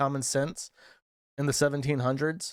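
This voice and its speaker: A man at a moderate pace. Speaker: livestream commentator. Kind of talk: casual livestream commentary.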